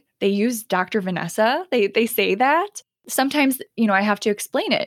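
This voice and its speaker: With a normal speaking voice, a woman talks at a fairly quick pace, fairly high in pitch with lively intonation, in a dry, close sound with no echo. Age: 30s. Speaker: nurse practitioner. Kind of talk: casual chat. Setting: video call.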